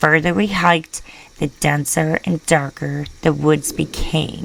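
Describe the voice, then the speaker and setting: A woman's put-on character voice, raspy and very deep and low in pitch, at a fairly slow pace with big swings in loudness. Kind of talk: horror narration. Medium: read story. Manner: measured, storytelling.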